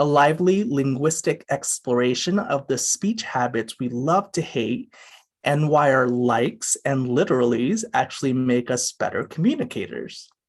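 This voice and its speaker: A man with a fairly high pitch speaks at a moderate pace with lively intonation. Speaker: museum literary program coordinator, event host. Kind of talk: virtual event host introduction. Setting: home video call. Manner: casual, hesitant with fillers.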